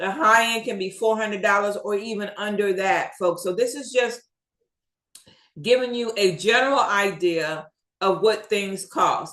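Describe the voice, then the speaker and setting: A woman with an unremarkable speaking voice and fairly high pitch is heard. Her pace is moderate and her pitch variation ordinary. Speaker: YouTube business coach. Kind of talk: tutorial. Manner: casual, with fillers.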